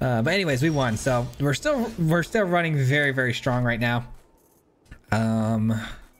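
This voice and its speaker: Keeping very even loudness, a man talks at a moderate pace with a medium pitch and ordinary pitch variation. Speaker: gaming content creator. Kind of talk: gameplay commentary. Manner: casual, sometimes mumbling.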